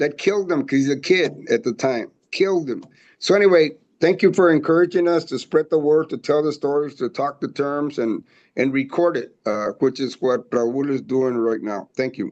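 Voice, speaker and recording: This man has an unremarkable speaking voice, fairly high in pitch. He talks at a moderate pace with ordinary pitch variation. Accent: American. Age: 60s. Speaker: audience participant. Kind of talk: comment in a video meeting.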